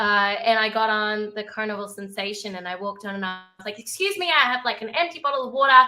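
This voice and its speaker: A woman with an Australian accent speaks at a fairly quick pace in a fairly high pitch, her tone bright and sharp. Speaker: cruise ship entertainer. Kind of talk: casual chat. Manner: animated.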